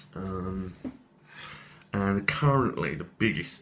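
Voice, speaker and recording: This man's very deep, low pitch comes with a bright, sharp tone. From southern England, near London. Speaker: crochet hobbyist vlogger. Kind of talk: casual show-and-tell vlog. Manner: hesitant, lots of ums.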